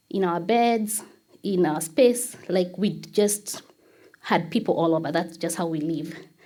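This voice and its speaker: Speaking at a fairly slow pace in a Kenyan accent, a woman has a fairly low pitch with ordinary variation and a dark, mellow tone. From Kenya, Nairobi. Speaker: church member. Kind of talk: testimony.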